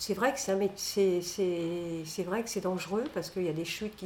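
Speaking at a fairly slow pace, a woman with a fairly low voice shows ordinary pitch variation. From France, Nantes. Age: 60s. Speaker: restaurant owner. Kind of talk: casual interview. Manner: hesitant, many fillers.

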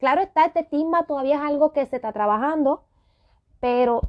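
A woman with a high pitch at a moderate pace. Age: 30s. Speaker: podcast host. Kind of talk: solo podcast rant.

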